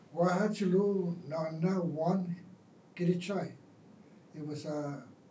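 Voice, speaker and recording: This man keeps his intonation fairly even, and audible room echo follows his words. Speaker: war veteran. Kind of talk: oral history interview. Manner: halting.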